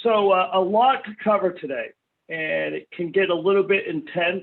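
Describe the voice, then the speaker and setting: A man's high voice in an East Coast US accent, at a moderate pace with ordinary pitch variation. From US East Coast. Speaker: software company trainer. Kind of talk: webinar training.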